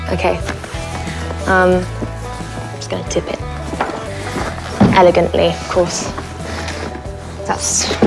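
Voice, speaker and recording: A woman at a very slow pace, long, frequent pauses and loud music in the background. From France. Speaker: actress. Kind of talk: casual talk to camera. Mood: playful, light, chatty. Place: home room.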